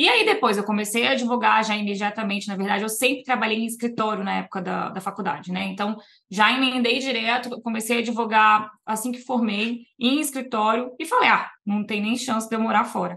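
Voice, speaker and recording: Fairly quick and with hardly any pauses, a woman speaks in a bright, sharp tone at a fairly high pitch, with vocal fry and fairly even intonation. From Brazil, Niterói, Rio de Janeiro; teens in Vitória, Espírito Santo. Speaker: immigration lawyer. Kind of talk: casual interview chat.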